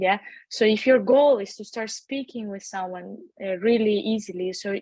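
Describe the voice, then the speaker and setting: A woman speaks at a medium pitch with a non-native accent. The background is quiet. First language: not English. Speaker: language school founder and tutor. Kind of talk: webinar interview. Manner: halting, many fillers and repetitions.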